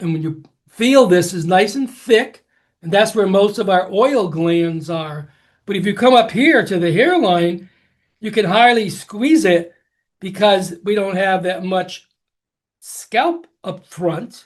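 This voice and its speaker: A man with a high pitch talks very slowly, using ordinary pitch variation. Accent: American. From Connecticut, US. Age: 80s+. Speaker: hair care educator and company founder. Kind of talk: educational talk.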